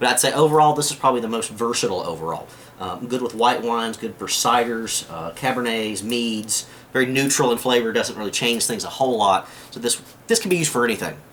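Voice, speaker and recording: A medium-pitched man with a Southern US accent at a very fast pace, ordinary pitch variation, and noticeable background noise. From US South. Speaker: prepping video maker. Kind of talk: tutorial. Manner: casual, with many fillers.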